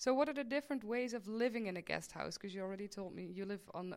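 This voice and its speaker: Speaking at a fairly quick pace, a woman uses ordinary pitch variation and talks in a Dutch accent. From Netherlands, Maastricht. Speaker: podcast host, student life coach. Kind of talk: interview.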